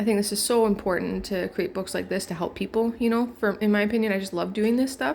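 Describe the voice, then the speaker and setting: A plain, everyday voice, fairly quick in pace and ordinary in pitch variation. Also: woman. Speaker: online publishing tutorial creator. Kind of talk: tutorial. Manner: casual, filler-heavy.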